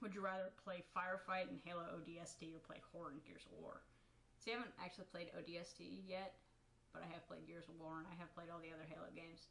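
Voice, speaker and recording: Speaking at a very fast pace, a woman keeps a fairly low pitch. Her intonation is fairly even. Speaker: gaming youtuber. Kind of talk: casual solo commentary. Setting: at home in own room. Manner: halting, stumbles over words. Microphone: quiet recording.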